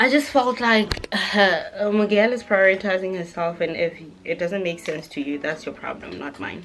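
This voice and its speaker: Against noticeable background noise, a woman speaks at medium pitch and a moderate pace, animated in tone, with lively intonation and big swings in loudness. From South Africa. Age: 20s. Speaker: beauty vlogger. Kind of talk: casual chat while doing makeup.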